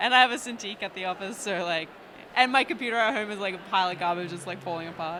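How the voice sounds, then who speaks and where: A woman's medium-pitched voice with a non-native accent, a bright, sharp tone, ordinary pitch variation and a very fast pace. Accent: noticeable foreign. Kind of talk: casual conversation.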